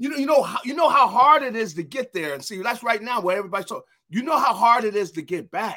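A man speaks in a raised, projected voice at an extremely high pitch. His tone is bright and sharp, and his intonation is lively. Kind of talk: casual sports chat.

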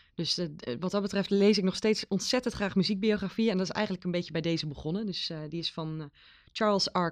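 Her voice is an unremarkable speaking voice at a medium pitch with ordinary pitch variation. The woman talks at a fairly quick pace over a quiet background. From Netherlands, Veluwe village. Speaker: librarian. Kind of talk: casual chat.

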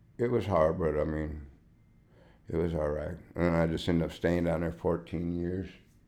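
A man talks at a moderate pace with a very deep, low pitch. His intonation is fairly even, and room echo is audible. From Michigan (Detroit). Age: 50s. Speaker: former biker and artist. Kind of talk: personal testimony interview. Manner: halting, many fillers.

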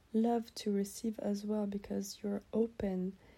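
A woman's somewhat breathy voice has a dark, mellow tone and monotone, flat intonation. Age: 20s. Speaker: podcast host. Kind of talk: solo podcast monologue.

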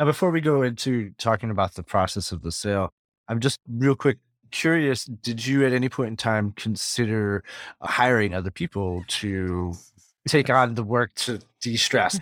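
A plain, everyday voice from a man at a medium pitch, lively in intonation and moderate in pace, on a very clean recording with a silent background and a dry, close sound with no echo. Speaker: podcast host. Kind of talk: interview, scripted intro.

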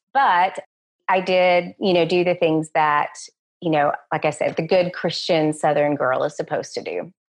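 In a Texan accent, a woman speaks with fairly even intonation. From West Texas. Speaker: education professor. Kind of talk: interview.

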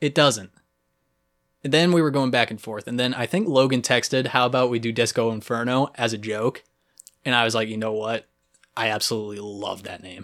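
A man's medium-pitched voice with an American accent, at a fairly quick pace with ordinary pitch variation. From Cape Cod and Texas. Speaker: podcast host. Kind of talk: casual chat. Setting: home studio in a basement. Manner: animated.

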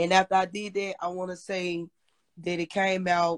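Recorded very cleanly against a silent background, a woman with an American accent speaks at a moderate pace in a fairly low register. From Memphis, US South. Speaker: rapper. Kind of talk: interview.

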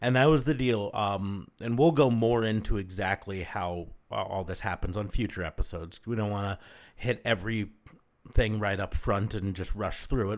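Recorded very cleanly against a silent background, a man with a plain, everyday voice talks at a moderate pace, his fairly low pitch showing ordinary variation. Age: 40s. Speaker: podcast host. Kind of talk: casual chat.

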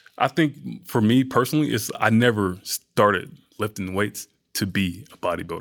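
A man with an American accent, a fairly low pitch and vocal fry. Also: moderate pace. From US South, Atlanta, Georgia. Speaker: bodybuilder and fitness model. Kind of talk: casual chat.

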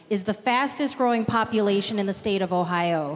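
A woman talks at a moderate pace with ordinary pitch variation. There is noticeable background noise. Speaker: civic club board president, moderator. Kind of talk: formal moderation. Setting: stage with audience.

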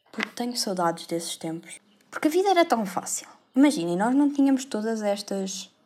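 A woman speaks at a fairly quick pace with a fairly high pitch. Her pitch swings very widely. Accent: European Portuguese. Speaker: podcaster, university student. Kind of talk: casual monologue. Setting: bedroom.

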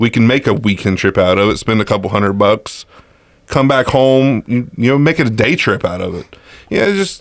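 With lively intonation and a moderate pace, a man speaks at a medium pitch in a normal speaking voice. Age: 30s. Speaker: podcast co-host. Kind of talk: casual chat. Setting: studio.

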